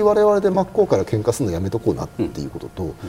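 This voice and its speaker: With very wide pitch swings, a man talks at a fairly quick pace against noticeable background noise. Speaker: military analyst and university lecturer. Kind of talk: TV panel discussion.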